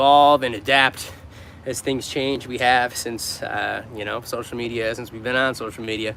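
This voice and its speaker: At a fairly quick pace, a man with an American accent talks with ordinary pitch variation over noticeable background noise. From New York. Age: 30s. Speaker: street musician. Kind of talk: livestream chat with viewers.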